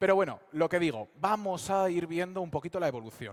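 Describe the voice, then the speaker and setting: With lively intonation, a man talks at a high pitch and a fairly quick pace. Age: 20s. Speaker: fantasy novelist and speaker. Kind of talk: public talk at a convention. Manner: hesitant with fillers.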